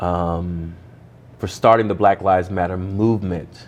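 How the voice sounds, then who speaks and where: A man talks with an American accent at a very deep, low pitch. Room echo is audible. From Ohio, US Midwest. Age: 30s. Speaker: pastor. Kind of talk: interview conversation. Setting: church.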